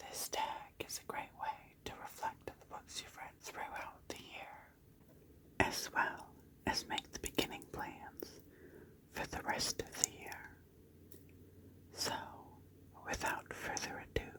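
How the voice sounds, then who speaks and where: Whispering at a very slow pace, a woman leaves long, frequent pauses, her loudness swinging widely amid noticeable background noise. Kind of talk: ASMR book tag talk. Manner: soft-spoken.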